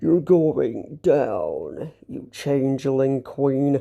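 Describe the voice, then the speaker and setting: Using a put-on character voice, a man speaks fairly high in pitch at a very slow pace. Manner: menacing.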